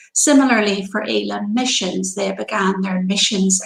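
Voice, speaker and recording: A woman with a Northern Irish accent, medium pitch and a fairly slow pace. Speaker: pastor. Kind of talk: devotional talk.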